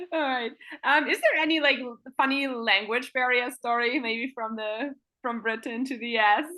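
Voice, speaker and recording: This speaker has a German accent and uses ordinary pitch variation. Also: woman, high pitch for a woman, moderate pace. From Germany. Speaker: sports interviewer. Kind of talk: interview.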